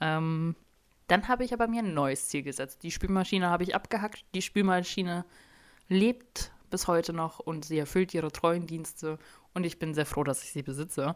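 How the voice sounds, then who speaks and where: This woman has an ordinary speaking voice with a fairly low pitch. She keeps a moderate pace and ordinary pitch variation. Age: 20s. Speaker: solo podcast host. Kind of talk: casual monologue. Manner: many fillers (ähm), chatty.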